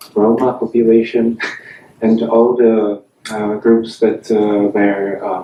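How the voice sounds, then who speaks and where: Flat, monotone delivery at a very slow pace over noticeable background noise. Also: man. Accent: Czech. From Czech Republic. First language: Czech. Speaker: audience member. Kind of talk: panel discussion. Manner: halting.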